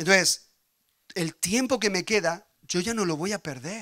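Against a quiet background, a man with a high pitch uses a raised, projected voice and a bright, sharp, animated tone, moving at a fairly slow pace with ordinary pitch variation. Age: 40s. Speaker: pastor. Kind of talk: sermon. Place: church. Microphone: handheld.

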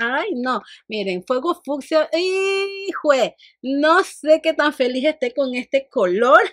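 Against a quiet background, a woman speaks in an animated, bright, sharp tone. Her pitch makes very wide swings. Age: 40s. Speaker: beauty vlogger. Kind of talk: makeup tutorial and product review. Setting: home studio. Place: home room.

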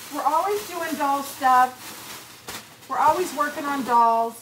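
At a fairly slow pace, the voice shows ordinary pitch variation against noticeable background noise. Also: woman. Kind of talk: casual vlog chat. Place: shop. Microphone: phone near.

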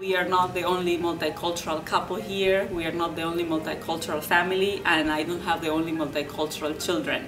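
A woman at a very fast pace with hardly any pauses, fairly low in pitch, in a monotone, flat intonation over clear music in the background. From Uruguay. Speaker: university professor of English and sociolinguistics. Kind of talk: interview answer. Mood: warm, positive. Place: studio.

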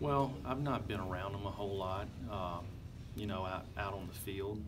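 Music plays behind a man speaking at a moderate pace. His pitch is fairly low. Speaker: football coach. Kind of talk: interview answer. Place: hall. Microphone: handheld.

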